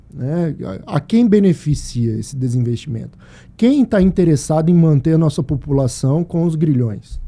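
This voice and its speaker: Somewhat breathy and dark, mellow in tone, a man's fairly high voice moves with lively intonation. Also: moderate pace. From Brazil, Mato Grosso (Sinop). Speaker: podcast host. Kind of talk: casual chat.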